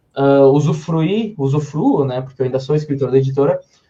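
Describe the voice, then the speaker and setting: Talking at a fairly quick pace, a man has a somewhat breathy voice with a dark, mellow tone. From southern Brazil, Serra Gaúcha (Rio Grande do Sul). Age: 20s. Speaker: author and publisher's legal officer. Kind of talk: podcast interview chat.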